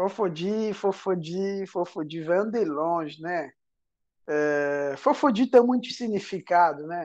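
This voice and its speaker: A man talks at a very slow pace with a high pitch and lively intonation. The background is quiet. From Angola. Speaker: singer. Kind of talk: casual interview.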